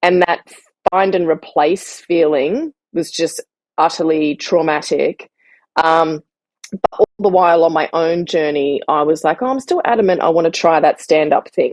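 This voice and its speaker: A woman with an Australian accent, fairly low in pitch with ordinary pitch variation, at a moderate pace, the sound dry and close with no echo. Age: 40s. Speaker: writer and comedian. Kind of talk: interview answer.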